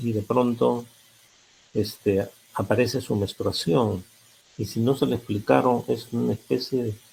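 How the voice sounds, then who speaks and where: With vocal fry and lively intonation, a man talks at a fairly slow pace and a fairly low pitch. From Peru. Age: 80s+. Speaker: psychologist. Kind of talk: lecture.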